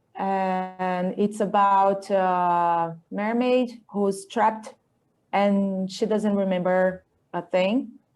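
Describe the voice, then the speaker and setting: A woman's medium-pitched voice, very slow and fairly even in intonation, with a Portuguese accent. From Brazil, Campinas, Sao Paulo state. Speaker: illustrator and comic artist. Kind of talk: interview, describing own artwork. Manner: halting, searching for words.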